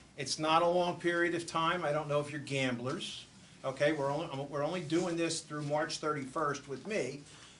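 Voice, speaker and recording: Fairly quick and fairly high-pitched, a man talks with fairly even intonation. Audible room echo and noticeable background noise surround him. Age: 60s. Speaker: borough manager. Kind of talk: public talk at community event.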